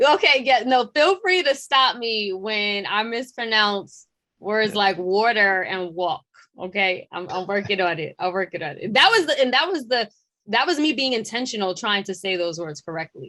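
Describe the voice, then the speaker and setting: With a New York accent, a woman talks at a moderate pace in a bright, sharp tone. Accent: deep New York. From New York City, Queens. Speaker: journalist and digital editor. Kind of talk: interview. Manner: hesitant, many fillers.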